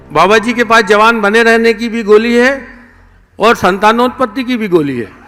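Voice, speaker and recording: An extremely high male voice, raised and projected, with ordinary pitch variation. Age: 60s. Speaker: author honoured at book launch. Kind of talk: formal speech at book launch.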